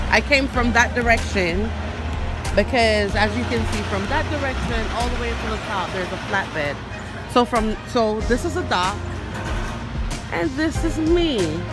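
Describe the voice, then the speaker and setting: A woman at a fairly slow pace, long, frequent pauses, clear music in the background, and a dry sound with no echo. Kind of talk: casual vlog chat. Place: street. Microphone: phone near.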